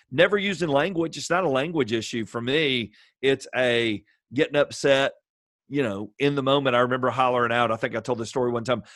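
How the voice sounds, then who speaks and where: A man talks at a fairly quick pace in a plain, everyday voice. His pitch is medium, with ordinary variation. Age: 50s. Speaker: pastor and assistant high school baseball coach. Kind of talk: casual interview.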